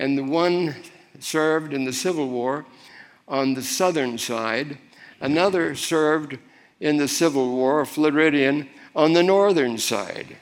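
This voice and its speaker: A man's fairly high voice at a fairly slow pace, with ordinary pitch variation and audible room echo. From Florida, US South (Miami). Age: 80s+. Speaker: preacher. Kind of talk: sermon.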